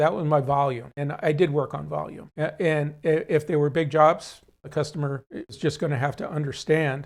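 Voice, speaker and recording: On a very clean recording with a silent background, a man speaks somewhat breathily. His intonation is fairly even. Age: 70s. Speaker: auto shop owner. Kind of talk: interview. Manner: halting.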